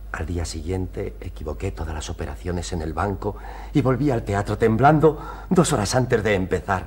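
With a very deep, low pitch, a man delivers his words in a theatrical tone at a moderate pace. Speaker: patient character; actor playing a character. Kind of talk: period TV stage play, dramatic; theatrical monologue in a TV play. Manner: emotional, earnest, theatrical, pleading. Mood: wistful, romantic recollection. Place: studio.

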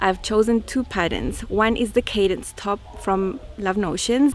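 The speed of this woman's speech is moderate. There is light background noise. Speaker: sewing vlogger. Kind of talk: casual vlog chat. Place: garden.

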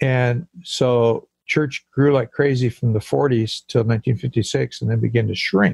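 In an American accent, a somewhat breathy man with medium pitch and ordinary pitch variation talks at a very slow pace with hardly any pauses, the sound dry and close with no echo. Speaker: pastor and church planter. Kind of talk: interview.

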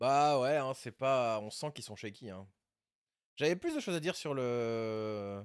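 A man speaks at a very slow pace in a medium pitch with ordinary pitch variation, on a very clean recording with a silent background. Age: 30s. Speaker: Rocket League streamer and coach. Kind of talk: casual live stream commentary and coaching.

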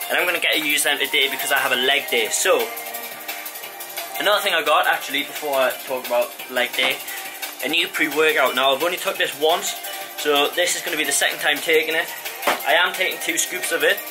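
A man talks at a fairly quick pace with ordinary pitch variation while clear music plays in the background. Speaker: fitness vlogger. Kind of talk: casual vlog chat. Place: garage. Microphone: phone near.

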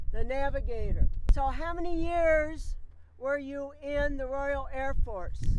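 A woman with a high pitch and ordinary pitch variation speaks at a very slow pace, the sound dry with no echo and light background noise behind her. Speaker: interviewer. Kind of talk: interview questions. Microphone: handheld.

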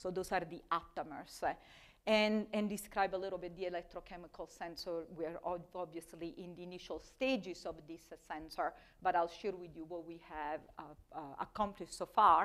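A woman speaks with an Italian accent, her intonation fairly even but her loudness swinging widely. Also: fairly low pitch for a woman, moderate pace, quiet background. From Italy. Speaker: chemistry professor. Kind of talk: lecture. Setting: stage with audience. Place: classroom. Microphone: lapel.

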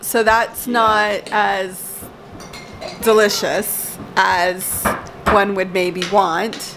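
Noticeable background noise fills the recording. Through it, a woman talks. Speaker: family vlogger. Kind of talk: casual vlog chat. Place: home room. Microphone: phone near.

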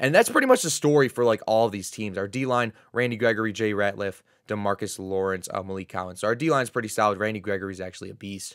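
Very fast speech from a man at a fairly low pitch, ordinary pitch variation, and a very clean recording with a silent background. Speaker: gaming YouTuber. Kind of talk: casual commentary to viewers. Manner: casual, conversational.

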